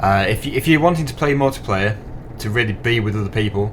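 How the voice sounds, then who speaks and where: Noticeable background noise behind a man's fairly low-pitched voice. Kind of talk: casual gameplay commentary.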